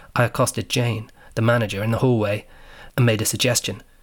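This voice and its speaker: At a fairly quick pace, a man talks at a medium pitch. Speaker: podcast narrator, English teacher in China. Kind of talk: scripted narration.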